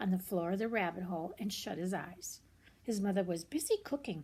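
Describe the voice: A woman speaks at a medium pitch and a moderate pace, with ordinary pitch variation. Her tone is slightly mellow with a slightly husky edge.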